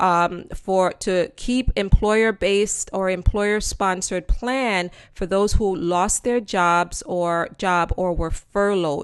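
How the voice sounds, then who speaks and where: At a fairly slow pace and medium pitch, a woman with an unremarkable speaking voice talks with fairly even intonation. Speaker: commentator explaining legislation to an audience. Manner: conversational, with frequent fillers.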